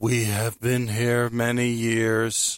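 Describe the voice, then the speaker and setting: A man's put-on character voice, medium in pitch, with monotone, flat intonation. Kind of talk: old sci-fi stylized. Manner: slow with long pauses.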